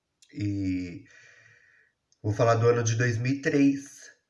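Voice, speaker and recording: Intonation stays lively even though the delivery is very slow. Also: man. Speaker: YouTuber telling his life story. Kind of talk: personal storytelling monologue. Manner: casual, conversational.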